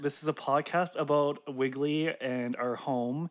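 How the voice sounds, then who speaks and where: A man with an unremarkable speaking voice talks at a fairly high pitch, with fairly even intonation. The recording is very clean, with a silent background. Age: 20s. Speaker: musician and podcast co-host. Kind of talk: casual chat.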